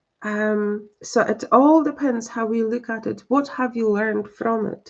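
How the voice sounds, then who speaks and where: Speaking fairly slowly with a Polish accent, a woman uses a fairly high pitch and ordinary pitch variation. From Poland. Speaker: psychic medium. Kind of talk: live-stream spiritual reading and chat. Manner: halting, many fillers.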